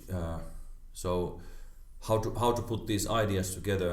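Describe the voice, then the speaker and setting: A man with a Finnish accent speaks at a moderate pace and a fairly low pitch. His intonation is fairly even, and audible room echo is present. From Finland. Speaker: karate practitioner. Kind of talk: casual chat. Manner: halting, many repetitions.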